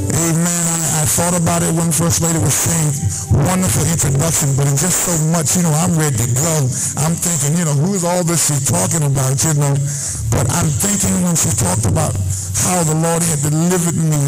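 Clear music plays in the background as a man talks fairly quickly with ordinary pitch variation. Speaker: preacher. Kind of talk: sermon. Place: hall. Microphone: handheld.

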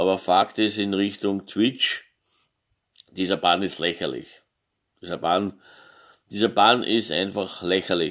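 Over a quiet background, a man speaks very slowly with fairly even intonation and a fairly low pitch, leaving long, frequent pauses. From Austria. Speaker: gaming YouTuber; vlogger. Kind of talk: opinion monologue. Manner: halting, many filler sounds. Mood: indignant, emphatic at end. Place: home room. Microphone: phone near.

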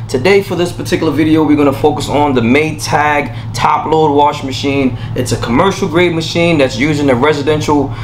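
With hardly any pauses, a man speaks at a fairly quick pace and ordinary pitch variation. Light background noise is present. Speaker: appliance reviewer. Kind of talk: casual product review intro. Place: studio.

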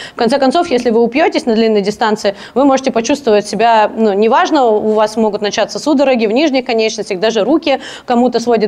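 A woman talks very fast, her pitch shifting in an ordinary way. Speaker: speaker. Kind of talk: lecture. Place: hall. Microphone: handheld.

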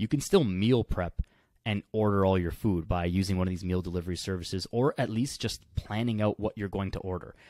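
A man speaks at a fairly quick pace with a fairly low pitch and ordinary pitch variation. His tone is dark and mellow, the sound dry with no echo against a quiet background. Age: 20s. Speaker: kinesiologist and fitness coach; fitness coach. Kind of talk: casual chat. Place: home room. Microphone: studio mic.

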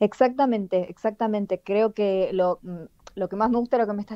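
With an unremarkable speaking voice, a woman of medium pitch talks at a moderate pace with ordinary pitch variation. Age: 30s. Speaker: playwright. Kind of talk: radio interview.

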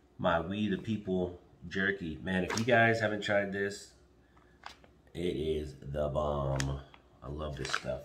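Very slowly and with long, frequent pauses, a man speaks at a very deep, low pitch with ordinary pitch variation over noticeable background noise. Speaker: vlogger. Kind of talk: casual vlog chat. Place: kitchen.

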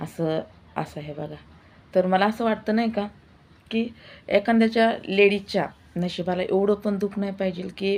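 A woman speaks in a normal speaking voice at a medium pitch with fairly even intonation. The recording is very clean, with a silent background. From Maharashtra, Indapur area. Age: 40s. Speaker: vlogger. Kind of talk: personal testimony vlog.

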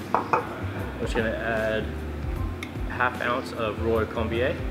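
Music plays behind a man who talks very slowly. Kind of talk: interview answer while demonstrating. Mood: relaxed, polite. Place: bar.

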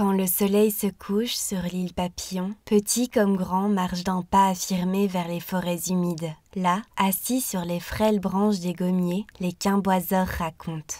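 Soft-spoken and soothing, the voice has a dark, mellow tone and monotone, flat intonation. It moves at a very slow pace with hardly any pauses. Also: woman, medium pitch for a woman. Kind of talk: sleep story. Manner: soft-spoken, soothing.

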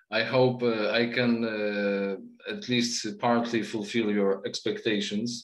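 A man with a Polish accent, at a very slow pace with monotone, flat intonation, against a quiet background with audible room echo. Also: medium pitch for a man. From Poland. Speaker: literature researcher and lecturer. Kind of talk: lecture. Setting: video call. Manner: halting. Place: home room. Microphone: webcam.

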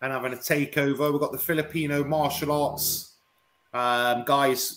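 Music plays in the background as a man speaks. He keeps a moderate pace and fairly even intonation. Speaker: guest. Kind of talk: interview answer. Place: home room.

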